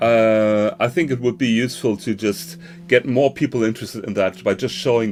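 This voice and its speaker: The voice carries a German accent. Its intonation is lively. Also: man. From northern Germany. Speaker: conference host. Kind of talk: live online conference hosting. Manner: halting, many fillers.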